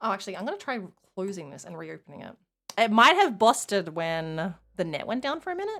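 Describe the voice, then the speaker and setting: A woman speaks at a very fast pace with a slight Australian accent. Her loudness swings widely. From Tasmania, Australia. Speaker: video game streamer. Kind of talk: casual live stream chat. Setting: live stream.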